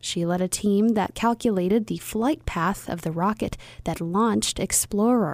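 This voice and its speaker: With a plain, everyday voice, a woman speaks at a moderate pace and medium pitch with ordinary pitch variation on a very clean recording with a silent background. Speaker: radio host. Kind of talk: scripted narration. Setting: studio.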